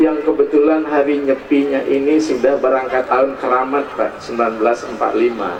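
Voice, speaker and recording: The speech comes at a fairly quick pace with hardly any pauses, very even loudness and fairly even intonation. Audible room echo and noticeable background noise surround it. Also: man, fairly high pitch for a man. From Bali. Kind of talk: religious talk (dharma discourse). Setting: outdoor stage with audience at ceremony.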